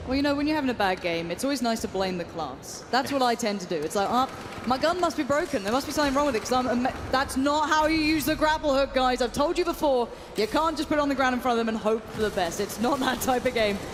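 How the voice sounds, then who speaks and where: A woman's high-pitched, animated voice in an English accent at a very fast pace, with noticeable background noise. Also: lively intonation. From England. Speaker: esports commentator. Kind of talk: live commentary.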